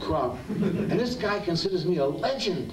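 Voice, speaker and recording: With an American accent, this man talks at a moderate pace in a high pitch and lively intonation, over noticeable background noise and audible room echo. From US Northeast (Pennsylvania/South Jersey). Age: 70s. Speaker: actor. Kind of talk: live Q&A storytelling. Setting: cinema stage with audience. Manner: animated, repetitive stammering.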